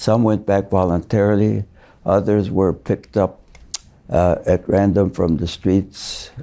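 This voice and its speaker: In a very clean recording with a silent background, a man speaks fairly slowly in a fairly low, dark, mellow voice, flat and monotone, his loudness very even. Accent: American. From Chicago, US Midwest. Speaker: retired judge. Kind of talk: interview. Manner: halting, many fillers.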